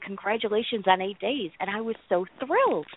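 A woman speaks with lively intonation. She has a plain, everyday voice. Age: 30s. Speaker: person in recovery, social work student. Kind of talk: casual chat.

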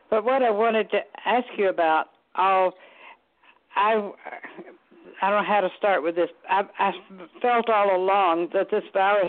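A woman with a Southern US accent and fairly even intonation. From US South, Chattanooga, Tennessee. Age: 80s+. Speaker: caller. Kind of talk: casual chat. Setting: phone call.

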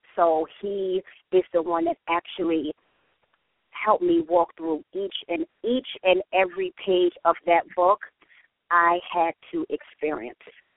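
A woman speaks very slowly at a medium pitch. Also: ordinary pitch variation. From New York, the Bronx. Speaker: author and church singles director. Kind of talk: radio interview by phone.

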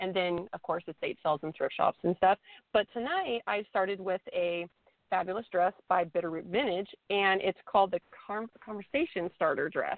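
A woman talks in an ordinary speaking voice at a moderate pace. Her pitch is medium, with ordinary pitch variation. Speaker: fashion blogger. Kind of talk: interview.

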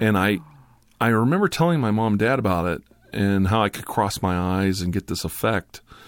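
At a fairly quick pace, a man speaks in a normal speaking voice, fairly low in pitch, with ordinary pitch variation. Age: 50s. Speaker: ASMR YouTuber. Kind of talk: casual chat. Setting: studio.

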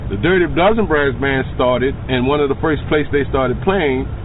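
A man with a New Orleans accent talks at a moderate pace and medium pitch, his intonation lively, with audible room echo and noticeable background noise. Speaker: tour guide. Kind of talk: guided tour.

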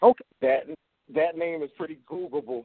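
In an ordinary speaking voice, a man with an American accent talks at a fairly quick pace with fairly even intonation. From Wilmington, North Carolina. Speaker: music artist and label owner. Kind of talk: call-in conversation.

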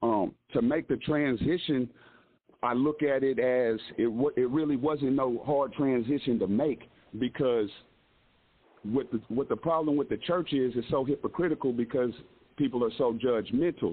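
This man has an unremarkable speaking voice, with an American accent, medium pitch, ordinary pitch variation, a moderate pace and very even loudness. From Kansas, US Midwest (Lawrence). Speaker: rapper. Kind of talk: interview.

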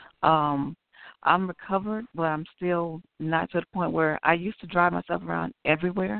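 This woman has a plain, everyday voice with a fairly low pitch and an American accent, speaking at a moderate pace with ordinary pitch variation. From Chicago, West Side. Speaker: author and aneurysm survivor. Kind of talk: radio interview.

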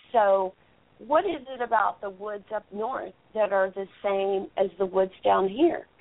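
A woman with a Texan accent, medium in pitch, fairly slow, with ordinary pitch variation. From Texas. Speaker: Bigfoot researcher and radio host. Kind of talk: interview. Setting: phone call. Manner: halting.

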